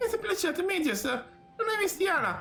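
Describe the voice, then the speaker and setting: Over clear background noise, a squeaky put-on character voice rattles along at a very fast pace. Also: woman. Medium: game stream. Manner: wry, inquisitive.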